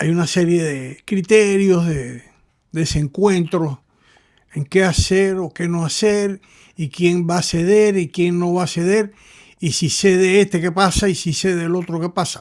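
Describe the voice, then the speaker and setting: On a very clean recording with a silent background, a man speaks fairly slowly at a high pitch with fairly even intonation. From Cuba. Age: 80s+. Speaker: commentator. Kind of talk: monologue commentary.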